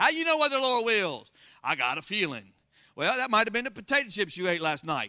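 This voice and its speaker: An American man speaks in a raised, projected voice at a fairly quick pace. His pitch is high, his tone bright and sharp, with very wide pitch swings. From Florida. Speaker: pastor. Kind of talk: sermon. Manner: animated.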